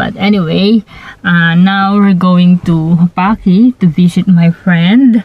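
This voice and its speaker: The sound is dry, with no echo. A woman talks with fairly even intonation. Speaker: vlogger. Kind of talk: casual vlog chat. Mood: happy, cheerful. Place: car. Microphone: phone near.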